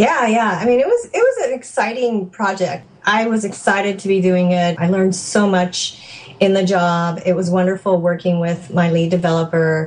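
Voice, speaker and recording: A woman in a normal speaking voice talks at a moderate pace and medium pitch, with fairly even intonation, very even loudness and hardly any pauses. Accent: American. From California. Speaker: software developer and mother. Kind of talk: interview conversation.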